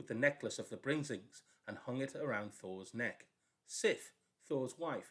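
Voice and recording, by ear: With a quiet background, the words are read aloud in a natural voice.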